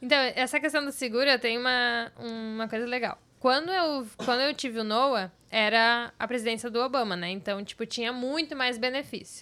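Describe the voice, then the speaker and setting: Over a silent background on a very clean recording, a bright, sharp tone comes at a moderate pace with hardly any pauses and ordinary pitch variation. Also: woman, high pitch for a woman. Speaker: mother of three. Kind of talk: casual chat.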